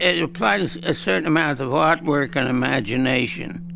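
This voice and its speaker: With an American accent and a fairly high pitch, a man speaks over noticeable background noise. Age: 80s+. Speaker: war veteran. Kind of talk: interview testimony.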